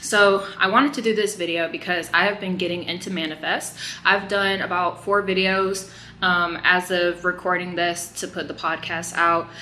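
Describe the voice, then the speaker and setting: With noticeable background noise, a woman speaks in a fairly even intonation. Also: medium pitch for a woman, moderate pace. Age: 20s. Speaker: YouTube reaction commentator. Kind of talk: casual vlog commentary. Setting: hotel room. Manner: casual with frequent fillers.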